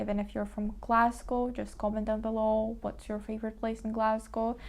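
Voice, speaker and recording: A woman's fairly high-pitched voice, dark and mellow in tone, with a Ukrainian accent. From Ukraine. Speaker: lifestyle vlogger. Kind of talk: casual vlog talk to camera.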